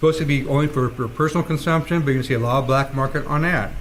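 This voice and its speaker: Amid audible room echo, a man with a fairly high pitch talks at a very fast pace. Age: 60s. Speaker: city council member. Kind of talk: council meeting debate. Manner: halting.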